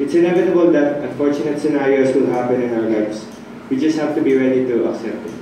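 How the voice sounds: A man speaks fast in a dark, mellow tone at medium pitch with ordinary pitch variation. Room echo is audible.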